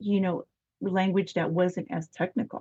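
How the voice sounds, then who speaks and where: A somewhat breathy woman's voice of medium pitch at a moderate pace. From Arizona. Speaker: children's book author. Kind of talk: interview. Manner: halting.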